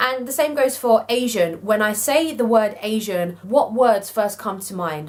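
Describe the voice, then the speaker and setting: Against noticeable background noise, a woman speaks at medium pitch with lively intonation. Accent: British. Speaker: YouTuber. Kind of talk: casual vlog discussion.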